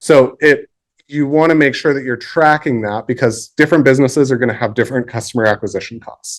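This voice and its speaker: In a very clean recording with a silent background, a man talks fairly quickly at a medium pitch with ordinary pitch variation. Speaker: marketing agency co-founder giving a workshop. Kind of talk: workshop presentation. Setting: library meeting room with audience. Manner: fast.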